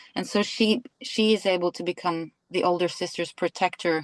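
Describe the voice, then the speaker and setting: Against a quiet background, a woman with a Norwegian accent talks at a fairly low pitch, the sound dry and close with no echo. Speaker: actress. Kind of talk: interview. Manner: hesitant, searching for words.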